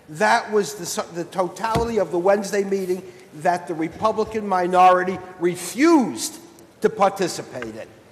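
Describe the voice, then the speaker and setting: A man with an American accent and a high pitch, moderate pace, lively intonation, big swings in loudness, and noticeable background noise. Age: 60s. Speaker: state senator. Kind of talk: legislative floor debate. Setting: senate chamber. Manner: formal.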